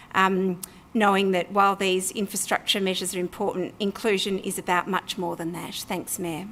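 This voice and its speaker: In an Australian accent, a woman speaks at medium pitch with monotone, flat intonation. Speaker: local councillor. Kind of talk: council meeting debate speech. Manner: fast.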